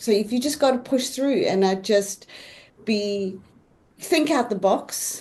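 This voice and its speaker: A woman with a South African accent, lively intonation, and a fairly slow pace broken by long, frequent pauses. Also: fairly high pitch for a woman. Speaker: real estate agent. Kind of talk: panel discussion.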